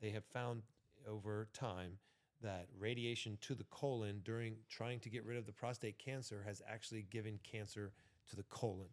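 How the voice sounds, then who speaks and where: With fairly even intonation and a moderate pace, this is a plain, everyday voice. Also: man. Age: 40s. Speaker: entrepreneur and former MMA fighter. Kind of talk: casual chat.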